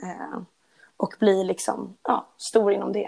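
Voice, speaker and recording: A woman is speaking. Her pace is very slow. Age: 20s. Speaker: after-school teacher and fitness enthusiast. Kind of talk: casual interview.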